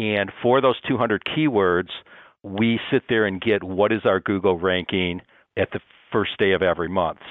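In an American accent, a man with an unremarkable speaking voice talks at a fairly low pitch and moderate pace, with ordinary pitch variation. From Ohio (Toledo). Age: 60s. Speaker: personal injury lawyer. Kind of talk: interview.

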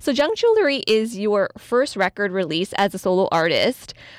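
At a moderate pace, an unremarkable speaking voice carries lively intonation, with a dry, close sound with no echo on a very clean recording over a silent background. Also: woman. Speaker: music director and interviewer. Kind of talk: radio interview.

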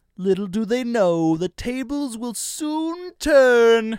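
A put-on character voice, fairly high in pitch and very slow in pace. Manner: scheming.

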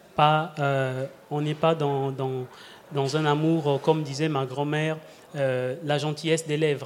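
At a very slow pace, a man talks in a fairly high pitch with monotone, flat intonation. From Republic of the Congo. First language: a Congolese language (speaking French). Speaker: performer and storyteller. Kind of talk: live radio panel discussion. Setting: live public broadcast at tables.

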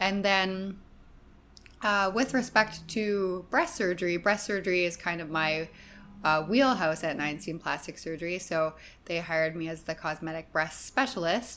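A bright, sharp tone comes through in a Canadian accent, with ordinary pitch variation at a moderate pace. The recording is very clean, with a silent background. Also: woman, fairly low pitch for a woman. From Canadian prairies. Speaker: plastic surgeon. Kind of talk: interview.

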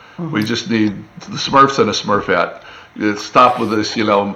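Against noticeable background noise, a man talks at a medium pitch and a moderate pace. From US Midwest and East Tennessee. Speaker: TV animation showrunner. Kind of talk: casual interview chat.

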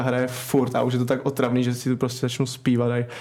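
A man is speaking. His pace is fairly quick. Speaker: ice hockey goalkeeper. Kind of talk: casual interview. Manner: hesitant, many fillers.

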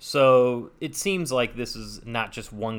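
A man with an ordinary speaking voice, medium in pitch and ordinary in pitch variation, in a very clean recording with a silent background. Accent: American. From Northern California (Saratoga). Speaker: podcast co-host. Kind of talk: casual chat; scripted narration.

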